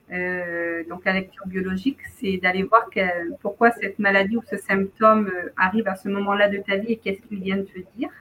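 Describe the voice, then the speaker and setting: Her bright, sharp tone sits at medium pitch, and this woman keeps her intonation fairly even. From southern France, near Montpellier. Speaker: wellness practitioner and writer. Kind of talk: casual interview.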